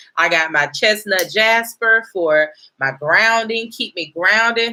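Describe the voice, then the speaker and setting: A woman talks with a bright, sharp tone and lively intonation. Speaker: gemstone seller and teacher. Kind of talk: live stream class talk. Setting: outdoors. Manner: casual.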